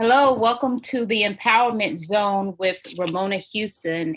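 With an American accent, a woman speaks in a medium-pitched, bright, sharp voice with ordinary pitch variation on a very clean recording with a silent background. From Texas. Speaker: podcast host. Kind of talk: interview.

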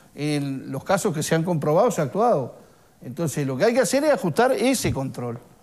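A high-pitched man at a fairly quick pace, with very wide pitch swings over a quiet background. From Uruguay. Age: 50s. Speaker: trade union leader; guest. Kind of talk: TV studio interview. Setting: studio. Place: studio.

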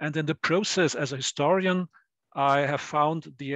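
A man speaks at a moderate pace in a plain, everyday voice, fairly high in pitch, with fairly even intonation. The sound is dry and close with no echo, over a quiet background. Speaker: historian and discussant. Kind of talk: academic seminar discussion.

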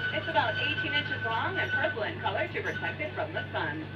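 Very fast talking comes through noticeable background noise. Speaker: zoo train tour guide. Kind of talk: scripted tour-guide narration over a train PA. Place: train. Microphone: pa.

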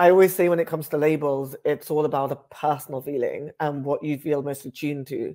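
Against a quiet background, a man with a British accent talks at a fairly quick pace with hardly any pauses, his dark, mellow tone pitched fairly high and his intonation fairly even. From West London, England. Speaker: writer and public speaker. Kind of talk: casual explainer to camera. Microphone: earbuds.

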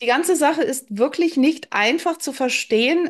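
In a quiet background, a woman speaks at a fairly slow pace with lively intonation. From Berlin. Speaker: spiritual author; interview guest. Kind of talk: interview. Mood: earnest, reflective. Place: home room. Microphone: video call.

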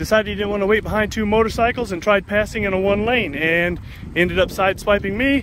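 Very fast speech comes through with a dry sound, no echo, and light background noise. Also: man. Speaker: motorcycle vlogger. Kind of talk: casual vlog chat. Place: street. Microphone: phone near.

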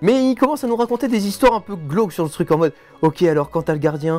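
A man rattles off his words very fast while faint music plays behind him. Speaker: guest youtuber. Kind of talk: casual storytelling chat. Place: studio.

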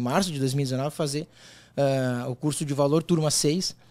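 Speaking at a fairly slow pace, a man uses a fairly high pitch and a dark, mellow tone. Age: 40s. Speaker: sports bettor; podcast guest. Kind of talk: podcast interview; interview answer. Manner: halting, with many repeated words. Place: studio. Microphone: studio mic.

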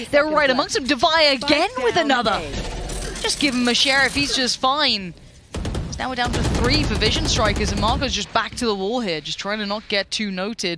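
At a fairly quick pace, the speaker sounds animated and excited, with noticeable background noise. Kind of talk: esports commentary. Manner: animated, fluent play-by-play with excited bursts.

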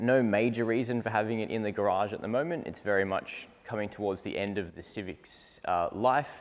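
Here a man with an unremarkable speaking voice talks at a fairly quick pace, his pitch fairly low and his pitch variation ordinary. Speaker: presenter. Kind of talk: casual presenter walkthrough. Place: garage. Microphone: lapel.

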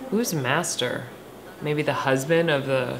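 A woman's voice over noticeable background noise. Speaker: co-host watching a movie. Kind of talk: casual reaction commentary. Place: home room.

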